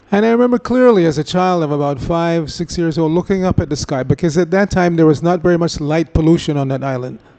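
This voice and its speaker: Over noticeable background noise, a man with a high pitch and ordinary pitch variation talks at a very fast pace with hardly any pauses. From Jamaica. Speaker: religious lecturer. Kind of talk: lecture.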